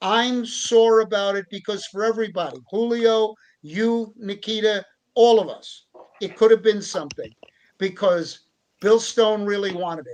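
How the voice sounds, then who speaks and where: A man talks with a high pitch at a moderate pace. His intonation is fairly even. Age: 70s. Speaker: wrestling referee and promoter. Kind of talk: casual chat.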